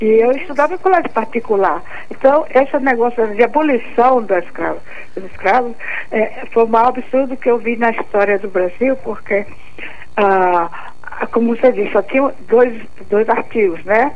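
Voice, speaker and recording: With audible room echo and noticeable background noise, a woman talks at a fairly high pitch with ordinary pitch variation. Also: moderate pace. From Northeast Brazil. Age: 80s+. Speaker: caller. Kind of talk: phone-in.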